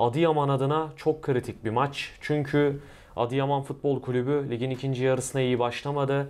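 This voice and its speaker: A man's monotone, flat intonation carries his words at a moderate speed. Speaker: football channel host. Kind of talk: sports preview discussion. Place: office. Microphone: lapel.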